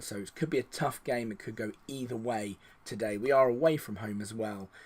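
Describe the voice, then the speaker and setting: Speaking with an English accent, a man shows ordinary pitch variation. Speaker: video game streamer. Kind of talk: gameplay commentary.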